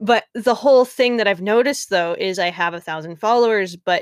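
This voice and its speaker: Intonation is lively in a plain, everyday voice at a moderate pace. The background is silent on a very clean recording. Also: woman. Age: 20s. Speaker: podcast host and writer. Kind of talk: casual chat.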